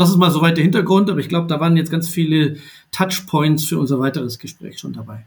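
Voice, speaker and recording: At a very fast pace, a man with a fairly high pitch talks with ordinary pitch variation and big swings in loudness. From Baden-Württemberg, southwest Germany. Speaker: entrepreneur. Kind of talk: podcast interview. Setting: remote recording.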